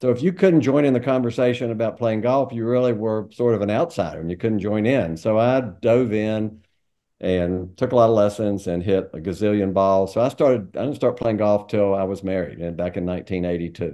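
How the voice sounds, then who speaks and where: Against a quiet background, a man with a dark, mellow tone and fairly low pitch talks at a fairly quick pace with ordinary pitch variation. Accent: Southern US. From North Carolina, Greensboro. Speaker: golf traveler. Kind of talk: casual chat.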